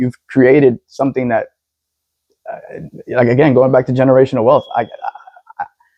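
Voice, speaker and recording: A man talks fairly quickly at medium pitch. His intonation is monotone and flat. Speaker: first-time homebuyer. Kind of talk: interview testimony. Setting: on site at a house. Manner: stuttering, many repetitions.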